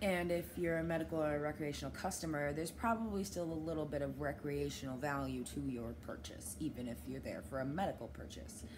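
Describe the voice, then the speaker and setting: A woman speaks at a fairly quick pace, with audible room echo. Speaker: vlogger and dispensary worker. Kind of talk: personal vlog monologue. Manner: fast; halting.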